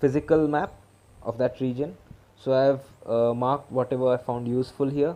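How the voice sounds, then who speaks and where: Over music in the background, a man with a Marathi accent speaks with fairly even intonation. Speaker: exam preparation mentor. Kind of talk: tutorial. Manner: casual, halting.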